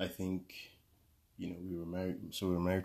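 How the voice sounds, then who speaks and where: A man speaks quietly and quite fast in a very deep, low voice, his intonation flat and monotone. The recording is very clean, with a silent background. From Nigeria (Lagos). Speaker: engineer, guest spouse. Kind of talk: casual interview.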